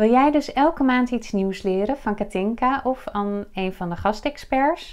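Over a quiet background, a woman speaks at a high pitch and a fairly slow pace. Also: ordinary pitch variation. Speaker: video host and business coach. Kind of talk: interview intro and questions. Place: office.

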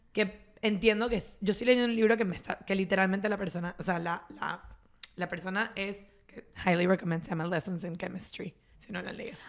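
Against a quiet background, a woman talks at a fairly quick pace in a medium pitch with fairly even intonation. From Venezuela. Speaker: podcast co-host. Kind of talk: casual chat. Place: home room. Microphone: studio mic.

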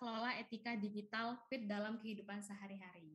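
The background stays quiet. A woman talks fairly quickly. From Indonesia. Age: 20s. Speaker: young online shop entrepreneur; webinar presenter. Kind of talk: webinar presentation. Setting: video call. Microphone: video call.

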